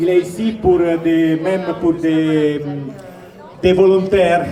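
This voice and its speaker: A man with an Italian accent is heard with audible room echo and noticeable background noise. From Italy. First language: Italian (speaking French). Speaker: shopkeepers' association representative. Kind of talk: public announcement.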